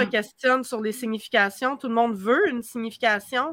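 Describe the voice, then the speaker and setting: A woman with a Quebec accent has a high pitch and a bright, sharp tone, speaking at a moderate pace in a dry, close sound with no echo. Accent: Québécois. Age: 40s. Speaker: witch and youtuber. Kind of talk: casual chat.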